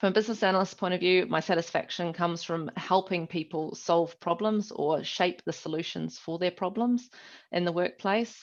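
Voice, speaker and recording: A woman with a New Zealand accent talks at a moderate pace in a medium pitch with ordinary pitch variation. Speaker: business analyst. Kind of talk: conference talk. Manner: hesitant, many fillers.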